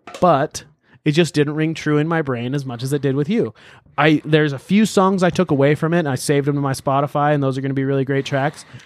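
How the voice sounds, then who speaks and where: At a very fast pace, a man speaks in an animated tone with a fairly high pitch. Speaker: podcast host. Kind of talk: casual banter, music review podcast. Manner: animated, joking.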